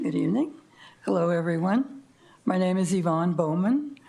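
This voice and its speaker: A woman speaks with a dark, mellow tone at a fairly low pitch. Audible room echo is present. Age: 80s+. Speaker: public commenter, senior resident. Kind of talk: public comment at council meeting. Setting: city council meeting.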